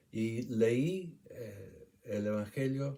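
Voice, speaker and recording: A man with an English accent speaks in a dark, mellow tone. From England, Shropshire. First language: English (speaking Spanish). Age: 70s. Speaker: retired doctor. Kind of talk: testimony. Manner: halting.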